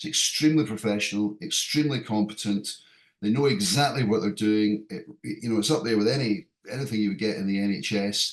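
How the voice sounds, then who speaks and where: At a fairly quick pace, a man with a fairly low voice speaks with ordinary pitch variation. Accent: British. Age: 60s. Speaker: airline pilot, patient. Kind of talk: patient testimonial. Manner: halting, many fillers.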